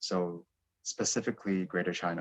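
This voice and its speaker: A man speaks with an American accent at a moderate pace. His pitch is very deep and low, and the sound is dry and close, with no echo. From United States. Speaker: PhD student and programme alumnus. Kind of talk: information session talk.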